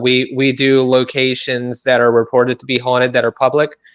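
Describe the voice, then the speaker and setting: The man's voice has a medium pitch. He talks at a moderate pace. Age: 30s. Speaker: paranormal investigator. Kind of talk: interview. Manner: halting, many fillers.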